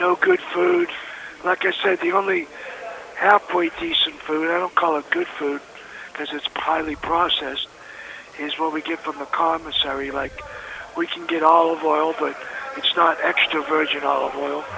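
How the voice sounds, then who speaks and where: Against noticeable background noise, a man with a high voice speaks with long, frequent pauses. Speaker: federal prison inmate. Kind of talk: phone testimony and exhortation. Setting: prison phone call.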